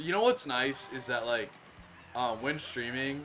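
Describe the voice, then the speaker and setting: This man talks at a moderate pace. Noticeable background noise can be heard throughout. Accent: American. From Minnesota. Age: 20s. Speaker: video game streamer. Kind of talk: casual live-stream chat. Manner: casual, many fillers.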